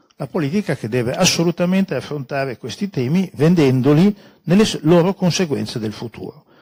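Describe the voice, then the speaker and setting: Against a quiet background, a man talks at a fairly quick pace with lively intonation and a somewhat breathy voice. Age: 70s. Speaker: scholar and speaker at a public talk; conference speaker. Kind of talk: public talk with slides; lecture. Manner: halting, many fillers. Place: meeting room. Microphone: handheld.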